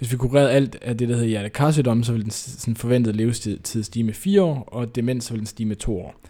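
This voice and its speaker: Talking at a very fast pace with hardly any pauses, a man uses a medium pitch, a dark, mellow tone and ordinary pitch variation. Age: 20s. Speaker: PhD student and author. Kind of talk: interview.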